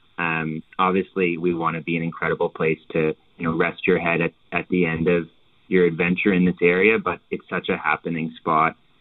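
With a Canadian Maritime accent, a man talks at a very deep, low pitch. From Canada, Halifax, Nova Scotia. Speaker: hotel owner. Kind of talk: interview.

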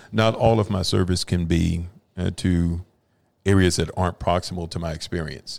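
A man with an American accent speaks at a moderate pace in a very deep, low voice. His intonation stays fairly even, and the recording is very clean with a silent background. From Dallas, Texas. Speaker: founder of a nonprofit, lawyer. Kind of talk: casual interview.

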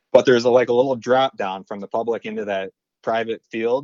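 An American-accented man's plain, everyday voice at a medium pitch and a fairly quick pace. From central Michigan. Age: 20s. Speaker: deer hunter. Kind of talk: casual chat. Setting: phone call.

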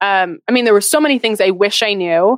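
A woman's unremarkable speaking voice at a medium pitch with ordinary pitch variation, a fairly quick pace and a dry, close sound with no echo. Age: 20s. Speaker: personal finance expert and business owner. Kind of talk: interview on a podcast.

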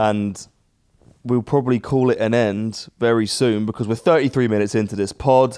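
A man is speaking at a moderate pace. His voice sits at a medium pitch. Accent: British.

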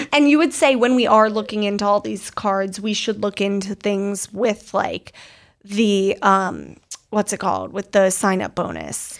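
A woman with a plain, everyday voice talks at a fairly slow pace, using a medium pitch and ordinary pitch variation. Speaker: podcast host. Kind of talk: casual chat. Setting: studio.

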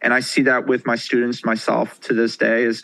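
A bright, sharp tone carries this voice at a fairly quick pace. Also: man. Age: 20s. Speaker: real estate investor. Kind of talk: interview.

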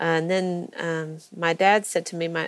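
This woman's voice is fairly low in pitch, with fairly even intonation. It is a plain, everyday voice. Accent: American. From US South, Georgia (Athens). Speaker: foster parent. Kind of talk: interview.

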